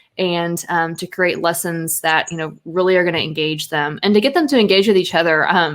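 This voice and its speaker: In a very clean recording with a silent background, a woman speaks at a moderate pace in a fairly low pitch with fairly even intonation. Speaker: photographer, writer and grad student teaching college English. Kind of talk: casual interview chat. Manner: quiet.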